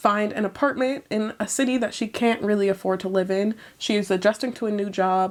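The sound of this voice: Ordinary pitch variation across an unforced reading voice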